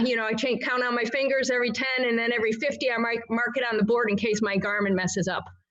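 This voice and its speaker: A woman with a high pitch and fairly even intonation talks at a very fast pace amid noticeable background noise and audible room echo. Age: 60s. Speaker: obstacle course racer. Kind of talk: interview.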